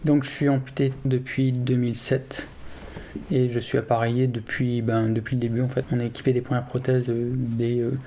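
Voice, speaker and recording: A man speaks at a moderate pace in a medium pitch, his intonation flat and monotone. Noticeable background noise runs underneath. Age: 30s. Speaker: amputee mountain biker and engineer. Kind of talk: documentary interview testimony. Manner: hesitant, many fillers.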